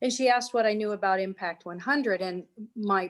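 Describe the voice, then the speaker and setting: With an American accent, this voice shows ordinary pitch variation. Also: woman. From New York. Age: 60s. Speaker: nonprofit executive. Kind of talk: casual chat. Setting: video call.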